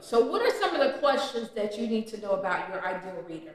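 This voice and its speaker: A woman's fairly high-pitched, animated voice with lively intonation and audible room echo. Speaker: author coach and editor. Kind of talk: video tutorial. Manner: loud.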